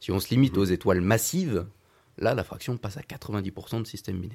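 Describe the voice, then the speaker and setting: A man talks at a fairly quick pace with lively intonation and a dark, mellow tone, recorded very cleanly against a silent background. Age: young. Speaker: astrophysicist, postdoctoral researcher. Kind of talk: radio interview.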